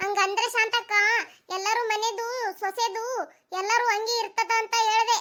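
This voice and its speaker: Putting on a cartoonish character voice, a woman speaks at an extremely high pitch, fairly slowly, in a monotone, flat intonation. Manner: easygoing, chatty.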